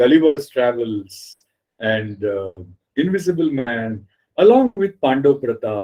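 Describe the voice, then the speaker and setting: A man's medium-pitched voice with a Marathi accent and lively intonation. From India, Mumbai. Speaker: writer and editor. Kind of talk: interview.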